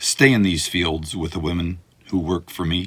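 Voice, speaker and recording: A man's put-on character voice, raspy and very deep and low in pitch, with fairly even intonation. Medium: read story. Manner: warm, gentle.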